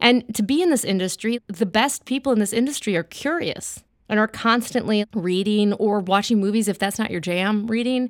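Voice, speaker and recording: A woman's normal speaking voice with an American accent, at a moderate pace with ordinary pitch variation and hardly any pauses, on a very clean recording with a silent background and a dry, close sound with no echo. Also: fairly high pitch for a woman. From US Midwest, Whitefish Bay near Milwaukee, Wisconsin. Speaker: comedy writer. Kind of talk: casual interview.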